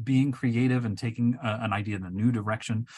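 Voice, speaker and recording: At a moderate pace, a man with a medium-pitched, somewhat breathy voice speaks against a quiet background. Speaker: chemistry professor. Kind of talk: casual chat.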